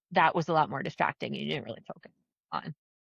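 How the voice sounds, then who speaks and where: A woman's very deep, low voice with a slight New Jersey accent, in a dry, close sound with no echo. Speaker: travel agent. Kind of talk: casual chat.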